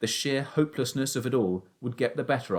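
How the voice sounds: The voice heard here is a natural reading voice.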